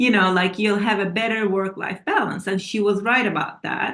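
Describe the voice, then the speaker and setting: The speaker has a Turkish accent. The pace is moderate. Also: woman. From Turkey. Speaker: author and scientist. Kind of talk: interview. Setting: TV interview.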